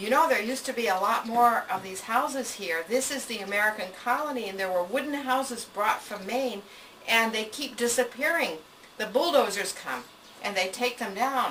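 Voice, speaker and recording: Over noticeable background noise, a woman with a fairly high voice talks at a moderate pace. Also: ordinary pitch variation. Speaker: preservationist and scholar. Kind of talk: interview answer.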